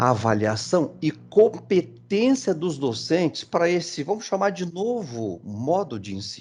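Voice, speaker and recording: A man with a Brazilian accent speaks at a fairly slow pace, his pitch swinging very widely. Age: 60s. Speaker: engineering education speaker. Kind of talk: presentation. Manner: halting, many fillers.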